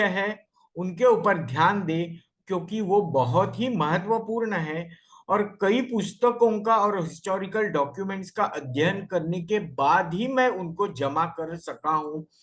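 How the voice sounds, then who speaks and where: A man talks in a Bombay accent at a high pitch. His pitch varies in an ordinary way. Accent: Bombay Hindi. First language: Marathi (speaking Hindi). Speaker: homeopathic doctor and guest lecturer. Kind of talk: lecture. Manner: halting, self-correcting.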